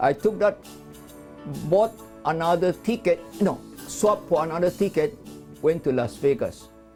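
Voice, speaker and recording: With music in the background, a man talks at a moderate pace in a high pitch, his intonation lively and loudness very even, broken by long, frequent pauses. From China. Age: 80s+. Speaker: immigrant. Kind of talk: interview answer.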